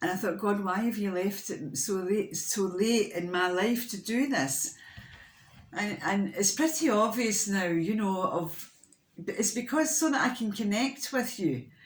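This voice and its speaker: Audible room echo surrounds the speaker. The delivery is fairly slow, with lively intonation. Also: woman. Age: 60s. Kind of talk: casual vlog talk. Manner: halting, many fillers and restarts.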